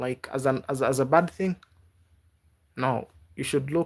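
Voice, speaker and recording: In a very clean recording with a silent background, a man with a non-native accent speaks at a moderate pace in a fairly high pitch with ordinary pitch variation. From Africa (Kenya). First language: not English. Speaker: YouTube livestreamer. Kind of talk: casual livestream chat with viewers. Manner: halting.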